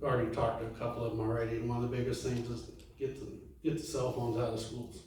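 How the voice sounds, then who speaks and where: A man of medium pitch speaks with an American accent. Noticeable background noise and audible room echo surround him. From California. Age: 70s. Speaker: city council candidate. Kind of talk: candidate forum speech. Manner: halting, many fillers.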